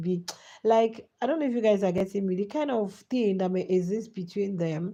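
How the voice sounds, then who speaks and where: A woman's medium-pitched voice, dark and mellow in tone, with ordinary pitch variation at a fairly quick pace. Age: adult. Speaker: YouTube host. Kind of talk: live chat commentary. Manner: animated.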